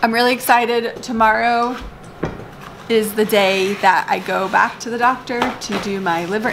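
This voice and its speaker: A woman talks with fairly even intonation. Noticeable background noise runs behind her. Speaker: family vlogger. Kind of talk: casual vlog chat. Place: home room. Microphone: phone near.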